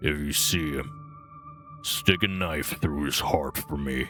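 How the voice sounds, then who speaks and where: A man growls in a put-on character voice at a fairly slow pace. Background noise is clearly audible. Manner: gruff, menacing.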